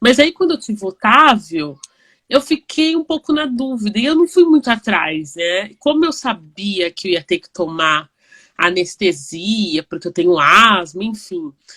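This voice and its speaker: A woman's bright, sharp voice, fairly high in pitch with very wide pitch swings and big swings in loudness, at a fairly slow pace, in a very clean recording with a silent background and a dry, close sound with no echo. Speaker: online talk show host. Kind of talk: casual interview chat. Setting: live video stream.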